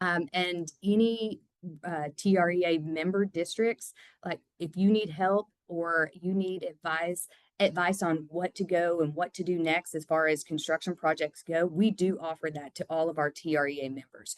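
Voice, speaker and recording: A woman with a plain, everyday voice speaks at fairly low pitch and a moderate pace. Her intonation is fairly even, and the sound is dry and close with no echo. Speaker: construction company manager. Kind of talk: podcast interview.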